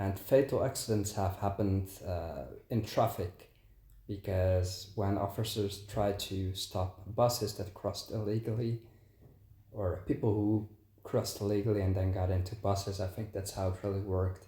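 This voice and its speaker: A man speaks at a moderate pace in a fairly low, somewhat breathy voice with a dark, mellow tone. His intonation stays fairly even, with a Dutch accent. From Netherlands. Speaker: travel vlogger. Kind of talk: casual commentary to camera.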